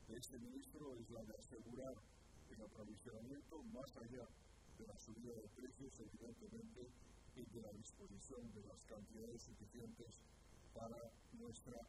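A man speaks at a moderate pace, with long, frequent pauses. The sound is dry with no echo, set against loud background noise. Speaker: government minister. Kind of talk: press conference statement. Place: hall. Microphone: podium.

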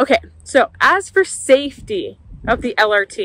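A dry sound with no echo against a quiet background. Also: woman. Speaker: vlogger. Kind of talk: casual vlog chat. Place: station. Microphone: phone near.

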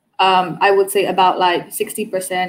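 A woman's medium-pitched voice with a Burmese accent, over light background noise. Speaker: cruise tour operator. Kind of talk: online panel interview. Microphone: earbuds.

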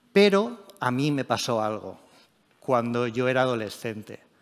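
A man speaks at a medium pitch. The background is quiet. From Spain, Elche (Alicante); Spain. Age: 40s. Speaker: tech journalist and editor; tech journalist. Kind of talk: conference talk. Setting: stage with audience. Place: stage.

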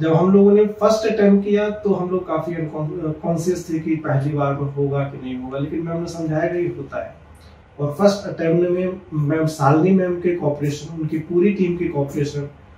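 Audible room echo surrounds a man speaking in a high pitch. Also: fairly even intonation, moderate pace. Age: 30s. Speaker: patient. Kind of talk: testimonial. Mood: grateful, earnest. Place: office.

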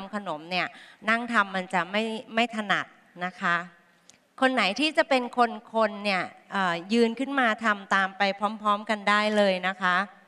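With ordinary pitch variation, a woman speaks in a bright, sharp tone. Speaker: chef giving a cooking demonstration. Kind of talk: tutorial. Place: hall. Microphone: headset.

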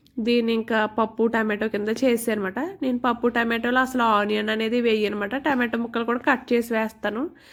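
A woman with a fairly high pitch speaks in a monotone with flat intonation and very even loudness, on a very clean recording with a silent background. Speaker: homemaker vlogger. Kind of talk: vlog voiceover narration. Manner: casual, chatty.

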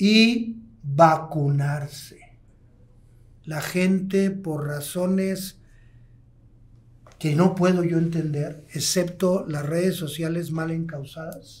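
A man speaks in a high pitch with fairly even intonation. His pace is very slow, with long, frequent pauses. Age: 60s. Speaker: pulmonologist, hospital medical director; guest. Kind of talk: podcast interview. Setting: podcast recording. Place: studio. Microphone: studio mic.

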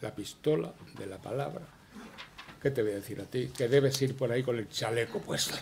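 With a strong Andalusian accent, a man talks at a fairly quick pace and ordinary pitch variation. Long, frequent pauses break it up, with light background noise underneath. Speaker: veteran journalist. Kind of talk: acceptance speech. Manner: rambling, conversational. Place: hall. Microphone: podium.

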